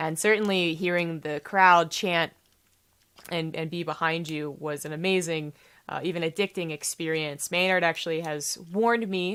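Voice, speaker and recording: A woman speaks at a fairly low pitch with fairly even intonation, recorded very cleanly against a silent background. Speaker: esports commentator. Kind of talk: casual talking-head vlog. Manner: fast; halting with fillers.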